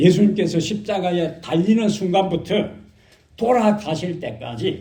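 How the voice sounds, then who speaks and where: In a Gyeongsang accent, a man with a dark, mellow tone and high pitch speaks at a fairly slow pace with ordinary pitch variation, and audible room echo surrounds him. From Korea, Gyeongsang region. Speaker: pastor. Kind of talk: sermon. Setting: church.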